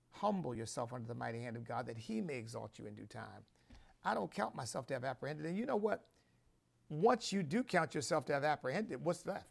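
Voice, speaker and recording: Talking at a very fast pace, a man with a medium pitch and vocal fry sounds animated, his pitch swinging very widely and his loudness rising and falling in big swings. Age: 60s. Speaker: bishop and show host. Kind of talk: sermon-style commentary. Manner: halting.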